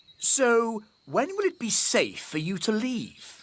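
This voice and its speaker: At a fairly slow pace, a cartoonish character voice speaks with a fairly high pitch and very wide pitch swings. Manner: posh, blustering.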